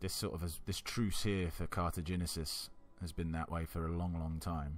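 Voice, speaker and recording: A man mumbles at a very deep, low pitch in a relaxed tone, keeping a moderate pace. His intonation stays monotone and flat, with very even loudness. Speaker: gaming YouTuber. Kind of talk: let's play commentary. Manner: casual, relaxed; mumbling.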